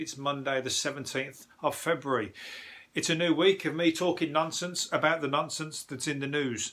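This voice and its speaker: In a put-on character voice, a hoarse man with a fairly high pitch talks at a moderate pace with fairly even intonation. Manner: casual, podcast host.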